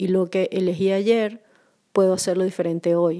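A woman's dark, mellow voice at medium pitch, monotone and flat in intonation, at a moderate pace. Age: 40s. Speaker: podcast host. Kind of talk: solo reflective monologue.

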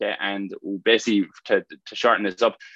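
The speaker has a Limerick accent. The sound is dry and close, with no echo. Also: man. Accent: Irish (Limerick). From Ireland, County Limerick. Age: 20s. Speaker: fitness coach. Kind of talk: casual talk to online community. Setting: video call. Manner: hesitant, many fillers.

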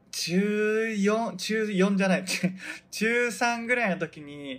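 A high-pitched man's voice at a very slow pace. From Hokkaido, Japan. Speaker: podcast host, model photographer and stage actor. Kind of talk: casual solo talk. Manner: slow, stumbling over words.

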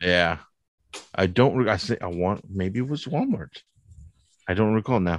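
A man speaks at a moderate pace and fairly low pitch with ordinary pitch variation. He leaves long, frequent pauses. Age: 40s. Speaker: toy collector. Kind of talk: casual chat.

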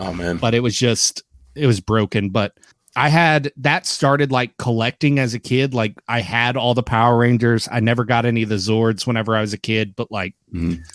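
Over a silent background in a very clean recording, a man with an American accent speaks at a medium pitch with ordinary pitch variation in an ordinary speaking voice. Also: moderate pace, dry, close sound with no echo. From Oklahoma. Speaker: wrestling podcast host. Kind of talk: casual chat.

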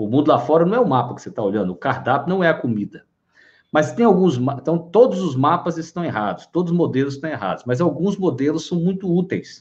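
Lively in intonation, a man speaks at a very fast pace in a fairly high pitch. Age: 50s. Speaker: live-stream host on psychology and wellbeing. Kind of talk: casual live-stream talk.

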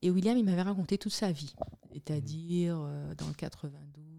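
Female speech on a very clean recording, the background silent. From Guadeloupe. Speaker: communications entrepreneur and political show host. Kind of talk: interview.

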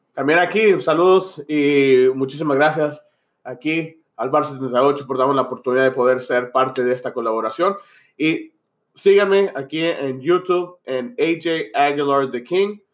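This man has an ordinary speaking voice with a fairly high pitch and ordinary pitch variation. He talks at a fairly slow pace. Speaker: youtuber. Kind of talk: casual banter podcast.

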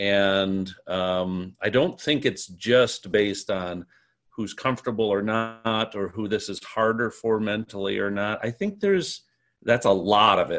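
In an American accent, a man speaks with an ordinary speaking voice at a fairly slow pace. His pitch is fairly low and his intonation fairly even. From US Midwest. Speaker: podcast host and improviser. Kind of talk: moderated panel discussion. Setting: video call.

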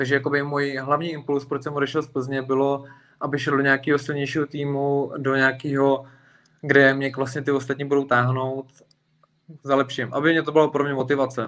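A man's fairly high-pitched, monotone voice with flat intonation at a fairly quick pace. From Plzeň, Czech Republic. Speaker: MMA fighter. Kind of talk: casual interview.

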